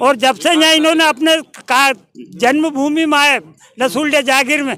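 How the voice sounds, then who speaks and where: Raising and projecting his voice, a man speaks at an extremely high pitch in a bright, sharp tone with ordinary pitch variation. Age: 80s+. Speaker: elderly local resident. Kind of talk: street interview.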